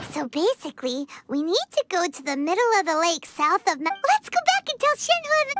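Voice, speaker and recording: In a cartoonish character voice, the speaker squeaks at an extremely high pitch and a fairly quick pace, with faint music in the background. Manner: casual, energetic.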